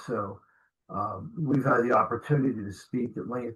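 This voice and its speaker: This man has an unremarkable speaking voice and an American accent. He talks at a fairly slow pace with ordinary pitch variation. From New Jersey. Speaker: podcast host, security trainer. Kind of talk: interview.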